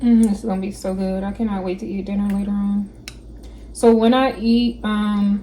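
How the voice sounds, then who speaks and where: A woman's monotone, flat delivery at a moderate pace amid noticeable background noise. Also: medium pitch for a woman. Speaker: cooking vlogger. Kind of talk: cooking tutorial. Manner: casual, chatty.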